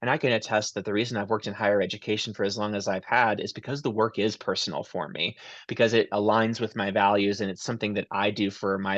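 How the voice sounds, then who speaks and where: Against a quiet background, a man talks very fast with hardly any pauses, his fairly low voice keeping fairly even intonation. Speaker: university lecturer. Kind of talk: webinar presentation. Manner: loud.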